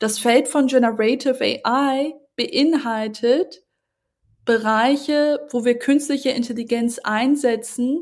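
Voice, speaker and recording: This woman's voice sits at a high pitch with fairly even intonation. She speaks at a very slow pace. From northern Germany, Hamburg. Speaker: tech founder and author. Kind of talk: podcast interview.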